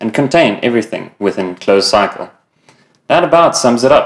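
The man's pitch moves in an ordinary way, and the background stays quiet. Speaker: product trainer. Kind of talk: training presentation. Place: shop.

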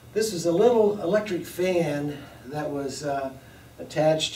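Speaking at a moderate pace, a man is heard with audible room echo. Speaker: lecturer. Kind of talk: lecture. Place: classroom.

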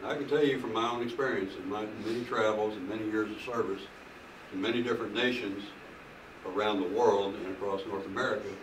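A man with a fairly low pitch and fairly even intonation speaks very fast over noticeable background noise. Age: old. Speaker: preacher. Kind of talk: sermon. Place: home room. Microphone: camera far.

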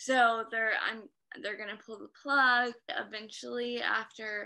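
Against a quiet background, this voice has a bright, sharp tone, a fairly slow pace and fairly even intonation. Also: woman. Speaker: stroke survivor. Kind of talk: interview. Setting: video call.

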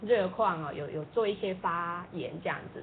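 Over light background noise, a woman with an unremarkable speaking voice talks at a fairly quick pace with ordinary pitch variation. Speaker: interviewer. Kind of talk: live interview. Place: studio.

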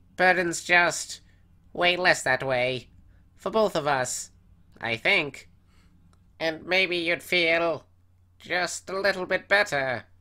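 In a put-on character voice, a man speaks high and at a very slow pace, with long, frequent pauses. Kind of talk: comic dub character voice.

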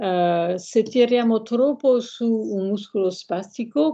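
A woman's dark, mellow voice with a French accent, very slow in pace, lively in intonation, over a quiet background. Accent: French-accented Italian. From France. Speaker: hand surgeon; guest. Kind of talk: lecture-style interview with slides. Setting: video call. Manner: halting, hesitant. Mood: calm explanatory. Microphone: video call.

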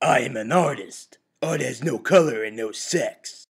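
A man speaks in a put-on character voice. His pitch is fairly high. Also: moderate pace.

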